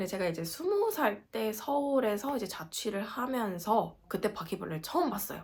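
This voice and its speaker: Woman's somewhat breathy, animated voice with lively intonation at a moderate pace. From South Korea, Gangwon Province. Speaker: working holiday vlogger. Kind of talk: casual vlog.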